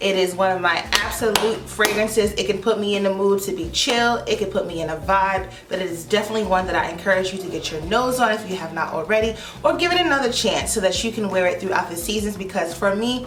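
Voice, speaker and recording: A woman with a medium pitch and an animated tone speaks very fast with hardly any pauses and ordinary pitch variation, amid audible room echo and noticeable background noise. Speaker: beauty YouTuber. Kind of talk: product review vlog. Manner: loud.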